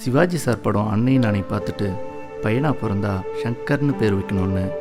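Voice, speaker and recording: Music plays in the background. A man speaks with lively intonation at a fairly low pitch. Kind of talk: biographical first-person voice-over narration.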